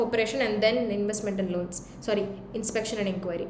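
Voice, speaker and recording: A woman speaks with an Indian accent. Noticeable background noise and audible room echo surround her voice. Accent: Indian English, Telugu. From India, Hyderabad. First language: Telugu. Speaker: teacher. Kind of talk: live-stream Q&A revision class. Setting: YouTube live stream. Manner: code-switching Hindi and English.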